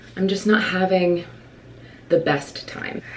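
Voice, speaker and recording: Audible room echo surrounds a woman speaking at a moderate pace with a fairly low pitch. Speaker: stage actor and vlogger. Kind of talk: casual chat. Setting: at home, filming while getting ready. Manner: rambling.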